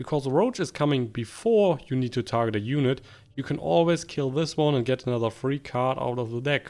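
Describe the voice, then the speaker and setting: A man speaks at a moderate pace and medium pitch. His pitch varies in an ordinary way, with music in the background. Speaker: gaming youtuber. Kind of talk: gameplay commentary.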